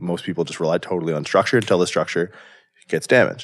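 A man with a Canadian accent and a very deep, low pitch. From southwestern Ontario, Canada. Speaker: chiropractor and powerlifter. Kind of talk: casual interview. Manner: animated.

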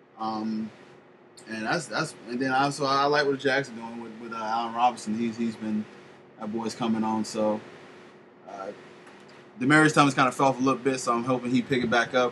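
A man with an American accent, medium pitch and fairly even intonation, at a fairly quick pace broken by long, frequent pauses, over noticeable background noise. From Florida, Polk County. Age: 30s. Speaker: podcast host. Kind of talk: casual chat.

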